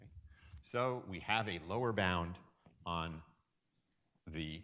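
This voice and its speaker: A man's very deep, low voice with a bright, sharp tone, ordinary pitch variation and audible room echo. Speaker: university lecturer. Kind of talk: lecture. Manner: halting, with many fillers.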